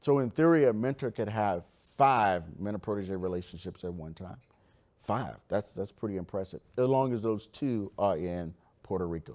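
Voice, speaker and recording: On a very clean recording with a silent background, a man with a plain, everyday voice and a fairly low pitch speaks at a moderate pace with lively intonation. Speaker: government program manager. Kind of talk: conference presentation.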